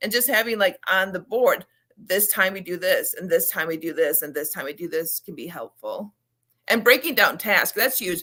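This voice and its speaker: Bright and sharp in tone, a woman speaks with lively intonation and big swings in loudness. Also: medium pitch for a woman, moderate pace. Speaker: children's book author and ADHD advocate. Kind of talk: interview.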